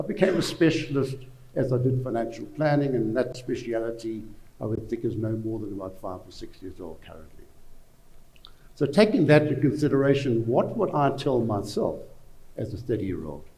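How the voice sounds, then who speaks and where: A man at medium pitch speaks at a fairly quick pace with lively intonation, his tone dark and mellow and somewhat breathy, with audible room echo. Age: 70s. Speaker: financial adviser. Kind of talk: panel discussion. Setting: conference stage with audience.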